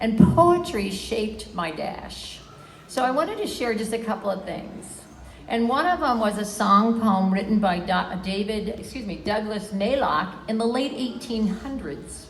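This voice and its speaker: Noticeable background noise sits behind a woman whose fairly high voice moves with lively intonation at a fairly slow pace. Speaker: lactation educator honored at retirement event. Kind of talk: farewell speech.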